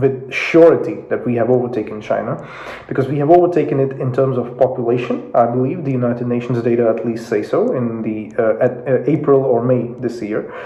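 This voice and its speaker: Medium-pitched male speech in a Russian accent, fairly quick and fairly even in intonation, with noticeable background noise and audible room echo. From Russia (Moscow), Indian family. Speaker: YouTube commentator on geopolitics. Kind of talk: casual explainer video. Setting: home office. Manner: hesitant, many fillers.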